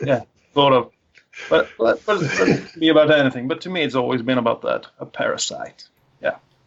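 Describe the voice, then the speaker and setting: A man with a Swedish accent at a fairly quick pace, with big swings in loudness. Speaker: podcast panelist. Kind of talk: casual chat.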